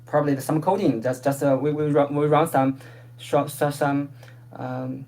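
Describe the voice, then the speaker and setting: The speech moves at a moderate pace. Noticeable background noise runs beneath it. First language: not English. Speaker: proposal presenter. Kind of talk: community call presentation. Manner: halting.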